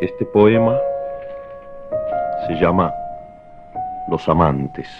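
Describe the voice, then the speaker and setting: Noticeable background noise surrounds a man speaking at a very slow pace. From Argentina. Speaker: writer, poet. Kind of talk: poetry reading. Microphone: old recording.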